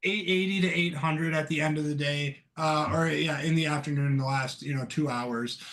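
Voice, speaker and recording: A man speaks in a fairly high pitch with fairly even intonation. He leaves hardly any pauses. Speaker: stock trader. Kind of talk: casual chat. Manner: loud; halting.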